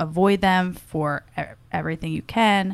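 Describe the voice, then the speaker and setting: On a very clean recording with a silent background, an unremarkable speaking voice is heard. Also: woman. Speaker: advocacy manager for an industry association. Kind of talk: casual interview.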